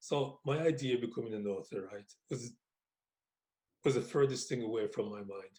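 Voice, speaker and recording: Speaking at a moderate pace, a man uses medium pitch and ordinary pitch variation with a somewhat breathy sound. His loudness swings widely, and his pauses are long and frequent. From Wolverhampton, England. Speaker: author. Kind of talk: interview answer.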